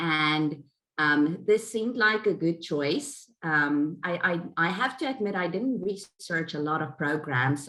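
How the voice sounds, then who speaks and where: A woman speaks at a fairly slow pace with a slight South African accent. Her pitch is very deep and low, and her tone is bright and sharp. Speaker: graduate certificate student. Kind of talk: webinar panel discussion.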